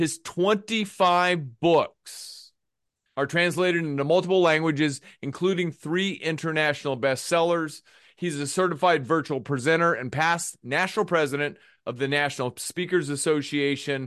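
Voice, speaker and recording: Against a quiet background, a man speaks in a normal speaking voice at a moderate pace with a fairly high pitch. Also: ordinary pitch variation. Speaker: podcast host. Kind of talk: casual interview chat.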